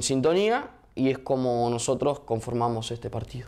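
A man with an ordinary speaking voice talks at a moderate pace and medium pitch, with ordinary pitch variation. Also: quiet background. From Argentina, Viedma (Río Negro); Argentina. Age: 20s. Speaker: mayoral candidate, politician; candidate. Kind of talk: interview. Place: studio.

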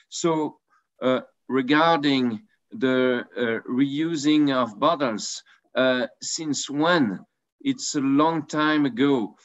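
In a quiet background, a man with a French accent speaks at a very slow pace, with ordinary pitch variation and long, frequent pauses. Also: fairly high pitch for a man, very even loudness. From France. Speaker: wine merchant; panelist. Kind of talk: panel discussion. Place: home room. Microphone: video call.

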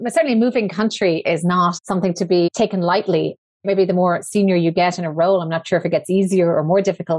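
Talking at a very fast pace, a woman keeps a medium pitch and fairly even intonation. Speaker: podcast host. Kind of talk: interview.

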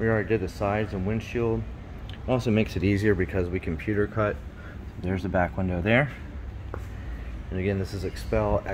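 A man talks at a fairly quick pace in a normal speaking voice, fairly low in pitch with ordinary pitch variation. Light background noise sits behind him. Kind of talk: tutorial. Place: garage. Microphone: phone near.

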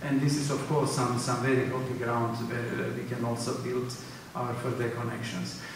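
A man's voice in strong room echo, with noticeable background noise. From former Yugoslavia. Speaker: ethnomusicology council secretary general. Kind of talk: panel discussion. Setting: conference session with audience. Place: hall.

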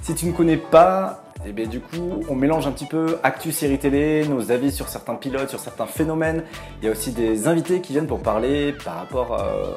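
With clear music in the background, a man with a fairly high pitch speaks at a fairly quick pace with lively intonation. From Bordeaux, France. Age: 20s. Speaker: TV series reviewer YouTuber. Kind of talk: casual talk to camera. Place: home room.

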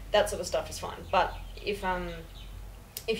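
Against light background noise, a woman with an Australian accent talks at a moderate pace. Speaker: university student; guest. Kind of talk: casual chat. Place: home room. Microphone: camera far.

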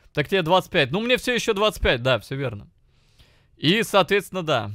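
Very wide swings in a man's pitch, delivered at a moderate pace. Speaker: streamer. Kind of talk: casual stream reaction commentary. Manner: profane, animated.

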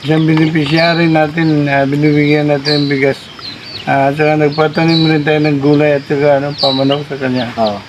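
Fairly high male speech, monotone and flat, at a fairly quick clip amid noticeable background noise. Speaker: vlogger. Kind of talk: casual vlog. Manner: halting.

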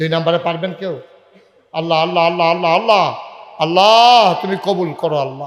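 Audible room echo surrounds a man with a high-pitched voice. His tone is animated, with ordinary pitch variation. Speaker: Islamic preacher. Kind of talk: sermon.

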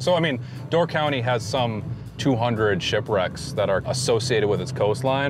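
A man at a moderate pace with lively intonation, the sound dry with no echo and music in the background. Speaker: guest. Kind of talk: interview answer. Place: car.

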